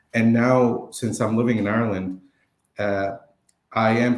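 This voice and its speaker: Fairly even intonation with an Arabic accent. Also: man. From Lebanon. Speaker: photographer and vlogger. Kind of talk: interview.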